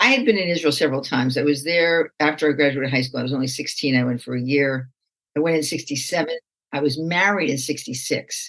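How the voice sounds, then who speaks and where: A woman with an American accent speaks at a very fast pace. Her pitch is very deep and low, with ordinary pitch variation. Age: 70s. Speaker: rabbi and meditation teacher. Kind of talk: interview. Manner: conversational.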